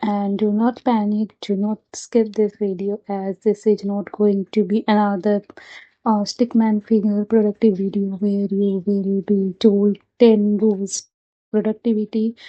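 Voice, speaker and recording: The delivery is monotone and flat. The pace is fairly slow. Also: woman, medium pitch for a woman. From India. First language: not English. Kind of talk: casual talk to camera.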